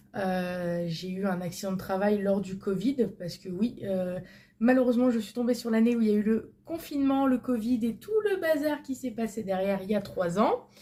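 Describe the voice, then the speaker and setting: A dark, mellow, somewhat breathy voice at a moderate pace. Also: woman, fairly high pitch for a woman, ordinary pitch variation. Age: 20s. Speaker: vlogger. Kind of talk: casual chat. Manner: hesitant, many fillers.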